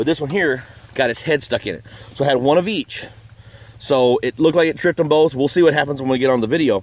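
In a dry sound with no echo, a man talks very fast with ordinary pitch variation. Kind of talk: casual outdoor tutorial commentary. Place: forest. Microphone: phone near.

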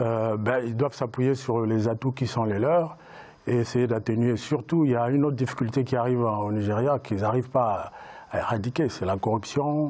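This voice has a dark, mellow tone, a moderate pace and fairly even intonation. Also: man, medium pitch for a man. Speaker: writer and entrepreneur. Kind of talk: panel discussion. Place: studio. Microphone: lapel.

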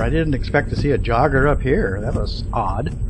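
A man keeps a medium pace while background noise is clearly present. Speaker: vlogger. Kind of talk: casual vlog chat. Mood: relaxed, later slightly worried. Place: car. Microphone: phone near.

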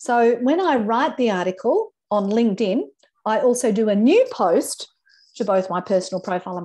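Her tone dark and mellow, a woman speaks with an Australian accent. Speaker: LinkedIn trainer. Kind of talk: webinar presentation. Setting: video call. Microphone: video call.

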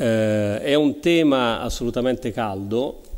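The background is quiet. A man talks at a fairly slow pace with ordinary pitch variation. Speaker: computer engineering professor. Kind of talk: panel talk. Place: hall. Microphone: podium.

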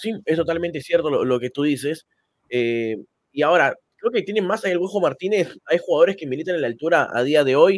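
Lively intonation carries a fairly quick pace in a dry sound with no echo. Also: man, high pitch for a man. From Peru, Lima; Peru. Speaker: football channel host. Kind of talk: casual chat. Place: home room. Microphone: studio mic.

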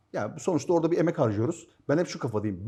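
A man talks at a very fast pace with lively intonation. His tone is dark and mellow. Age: 50s. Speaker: airsoft team captain. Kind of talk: casual chat.

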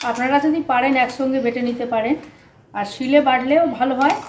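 A woman with a high voice speaks in a fairly even tone over light background noise, with audible room echo. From Kolkata, West Bengal, India; West Bengal, India. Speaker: cooking channel host. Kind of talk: cooking tutorial. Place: kitchen. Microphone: camera far.

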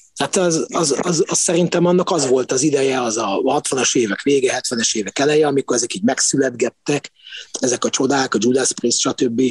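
A fairly high-voiced man speaks at a moderate pace with ordinary pitch variation, in a dry, close sound with no echo and noticeable background noise. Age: 50s. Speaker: backstage insider, music fan. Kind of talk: casual chat.

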